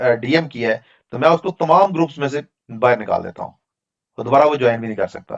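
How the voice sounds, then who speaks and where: With a Pakistani accent, a man talks at a fairly high pitch. His pace is moderate. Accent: Pakistani Urdu. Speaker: data analytics trainer. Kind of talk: online class Q&A.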